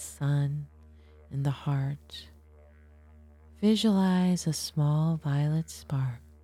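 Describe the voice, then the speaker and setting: Over music in the background, a woman with a very deep, low voice speaks very slowly with fairly even intonation. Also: long, frequent pauses. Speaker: podcast host and guided meditation leader; astrologer and hypnotherapist. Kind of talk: guided meditation; educational talk then guided meditation. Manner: slow, soft, soothing and hypnotic with long pauses; calm, gentle, measured pacing.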